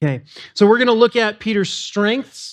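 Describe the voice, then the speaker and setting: Against a quiet background, a man speaks loudly in an animated tone. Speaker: pastor. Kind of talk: sermon. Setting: church.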